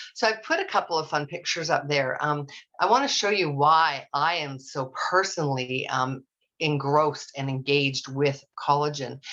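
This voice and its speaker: This is a woman's voice. Her pitch is very deep and low, with ordinary variation. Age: 60s. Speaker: nurse and hormone specialist giving a talk. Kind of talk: online presentation.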